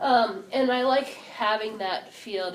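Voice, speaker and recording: Against noticeable background noise and audible room echo, a woman speaks with ordinary pitch variation. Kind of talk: talk to an audience. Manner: laid back.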